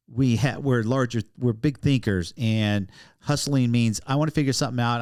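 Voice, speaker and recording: In a very clean recording with a silent background, an ordinary speaking voice goes at a fairly quick pace, its pitch varying in an ordinary way. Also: man. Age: 60s. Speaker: podcast host. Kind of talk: casual interview.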